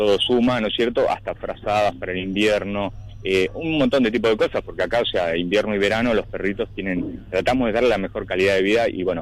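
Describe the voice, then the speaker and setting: A man talks at a fairly quick pace in a fairly low voice with fairly even intonation, in an ordinary speaking voice. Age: 50s. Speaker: animal shelter manager. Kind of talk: radio interview answer.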